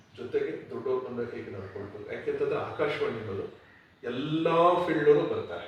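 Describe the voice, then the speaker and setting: A man talks, and noticeable background noise is audible throughout. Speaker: radio announcer and stage anchor. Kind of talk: interview answer.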